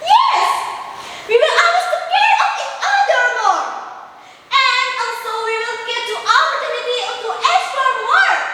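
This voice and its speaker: A female-sounding, put-on character voice at an extremely high pitch, broken by long, frequent pauses. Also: moderate pace. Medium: read story.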